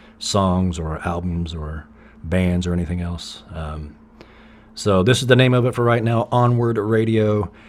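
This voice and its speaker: This is a man speaking. He has a Southern accent. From US South, East Tennessee. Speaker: podcast host and musician. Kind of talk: solo podcast monologue. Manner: casual, halting with fillers.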